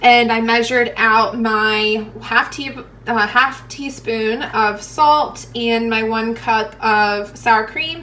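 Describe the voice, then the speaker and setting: A woman talks at a very slow pace. Her pitch is high. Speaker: home cook vlogger. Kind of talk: tutorial. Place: kitchen. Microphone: phone near.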